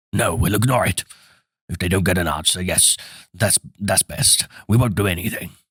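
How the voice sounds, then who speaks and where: Doing a put-on character voice, a man speaks in a raspy, very deep, low pitch at a moderate pace, with long, frequent pauses. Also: dry, close sound with no echo. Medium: read story. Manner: blustering, loud.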